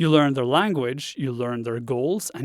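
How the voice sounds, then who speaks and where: A man with a slight Norwegian accent speaks at a moderate pace in a fairly high pitch, with ordinary pitch variation and a dry, close sound with no echo. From Norway. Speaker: web design instructor. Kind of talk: podcast monologue.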